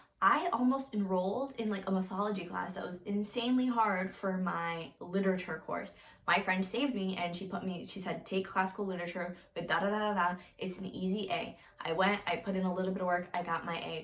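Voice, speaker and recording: A woman talks at a fairly quick pace with a medium pitch. Noticeable background noise can be heard. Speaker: college student, vlogger. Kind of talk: casual advice vlog. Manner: fast; casual, filler-heavy.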